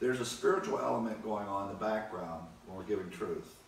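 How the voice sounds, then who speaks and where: Audible room echo and light background noise surround a man speaking at a fairly low pitch. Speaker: Bible teacher. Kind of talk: sermon-like Bible lecture. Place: home room. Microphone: camera far.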